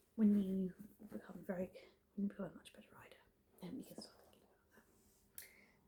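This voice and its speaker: Whispering at a fairly quick pace, a woman speaks with a British accent. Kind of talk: ASMR roleplay. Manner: soft-spoken.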